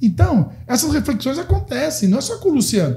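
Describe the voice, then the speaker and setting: A man speaks in a high pitch with very wide pitch swings. Noticeable background noise runs behind him. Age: 60s. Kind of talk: podcast interview. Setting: studio. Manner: animated.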